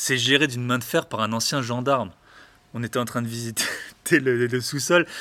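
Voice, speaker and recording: A man speaks at medium pitch and a moderate pace. His tone is bright and sharp, his intonation fairly even. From eastern France. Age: 30s. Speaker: real estate investor, podcaster. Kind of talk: casual interview. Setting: in person. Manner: halting.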